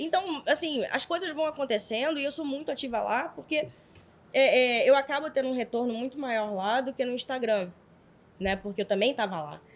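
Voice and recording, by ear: Her high-pitched voice carries lively intonation as this woman speaks. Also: moderate pace.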